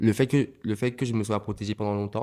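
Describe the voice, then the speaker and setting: A man is speaking. He has a Martinican accent. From Martinique. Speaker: comedian and voguing dancer. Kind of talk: podcast interview. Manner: halting, many repetitions and fillers.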